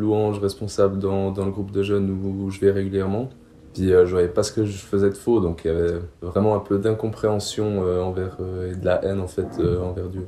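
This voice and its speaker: This man's pitch sits fairly low. He talks at a fairly quick pace with monotone, flat intonation. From Switzerland, canton of Neuchâtel. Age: 20s. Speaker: student, youth group leader. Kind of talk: testimony. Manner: halting, many fillers.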